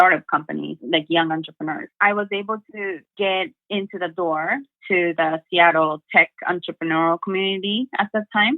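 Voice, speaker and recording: This woman has a Japanese accent. Her voice sits at a medium pitch. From Japan, Sendai. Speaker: motivational speaker. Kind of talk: interview.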